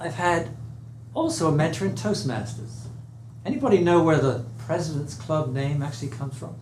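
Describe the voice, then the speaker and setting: A man with an English accent, fairly high pitch, ordinary pitch variation and a moderate pace, amid audible room echo and noticeable background noise. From England. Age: 70s. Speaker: speaking coach. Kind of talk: speech to audience. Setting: room with live audience.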